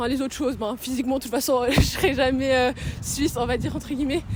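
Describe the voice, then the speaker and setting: A woman speaks in a high voice at a fairly quick pace. Noticeable background noise can be heard. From Switzerland, Sion (Valais). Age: 20s. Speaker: documentary interviewee. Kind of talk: interview. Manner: casual, hesitant.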